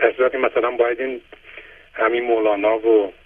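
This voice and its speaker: A man at a medium pitch speaks at a moderate pace in a flat monotone. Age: 60s. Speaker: caller. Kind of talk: phone-in testimony.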